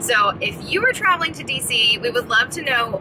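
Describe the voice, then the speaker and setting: A woman speaks at a moderate pace, her pitch swinging very widely, with noticeable background noise behind her. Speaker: parent vlogger. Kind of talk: casual vlog chat. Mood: cheerful, excited. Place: car. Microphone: phone near.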